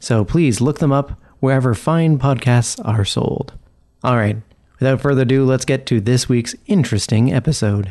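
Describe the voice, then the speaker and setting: Against a quiet background, a man with a dark, mellow tone speaks at medium pitch and a moderate pace, his loudness very even and his pitch variation ordinary. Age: 30s. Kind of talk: podcast announcements.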